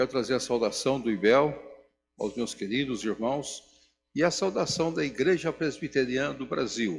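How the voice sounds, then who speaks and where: On a very clean recording with a silent background, a man speaks at a moderate pace and medium pitch, with vocal fry and lively intonation. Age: 70s. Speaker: pastor. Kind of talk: sermon. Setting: church.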